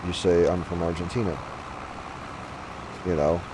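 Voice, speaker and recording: There is audible room echo and noticeable background noise. A man with an American accent speaks at a very deep, low pitch. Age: 30s. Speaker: gaming streamer. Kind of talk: casual chat.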